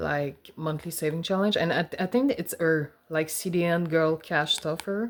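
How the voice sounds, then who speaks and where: With a Quebec accent and hardly any pauses, the speaker talks at a moderate pace with ordinary pitch variation. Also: woman. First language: French. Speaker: personal finance vlogger. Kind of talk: casual vlog. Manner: hesitant, with fillers.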